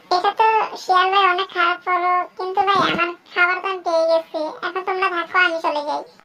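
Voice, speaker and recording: It's a cartoonish character voice. The pace is moderate. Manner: friendly, polite.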